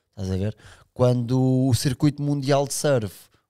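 Here a man talks with a dark, mellow tone. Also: quiet background. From Sintra, Portugal; Portugal. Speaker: big wave surfer; podcast guest. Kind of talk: casual chat. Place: studio. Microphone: studio mic.

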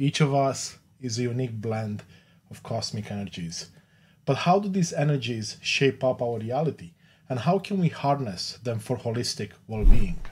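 A man speaks with lively intonation at a moderate pace. His voice is somewhat breathy. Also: big swings in loudness. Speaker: podcast host. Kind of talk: podcast intro. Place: home room.

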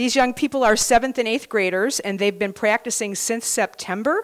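Against a quiet background, a woman talks at a fairly quick pace. Her pitch variation is ordinary. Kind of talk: show introduction to audience. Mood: warm, grateful. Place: hall. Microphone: handheld.

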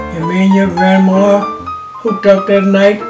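Over clear music in the background, a man talks at a high pitch. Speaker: retired architect and artist; army veteran. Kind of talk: interview answer, life story. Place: home room.

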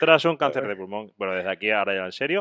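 Over a quiet background, a man with a fairly low voice talks in an animated tone. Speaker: podcast co-host. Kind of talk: casual chat. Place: home room. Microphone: studio mic.

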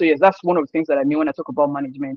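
Against a quiet background, a man speaks at a fairly high pitch with a dry sound and no echo. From Nigeria, Osun State. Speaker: sports journalist. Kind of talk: interview. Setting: video call. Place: home room. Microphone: video call.

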